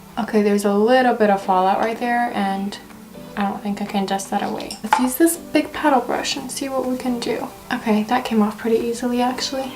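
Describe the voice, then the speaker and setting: A quiet woman with a fairly high pitch talks at a fairly quick pace with fairly even intonation, amid noticeable background noise. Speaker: beauty YouTuber. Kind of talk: makeup tutorial. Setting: at home in her room. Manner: quiet, low-energy.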